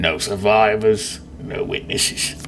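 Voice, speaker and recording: A man puts on a character voice at a medium pitch. He goes very slowly over clear background noise. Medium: game stream.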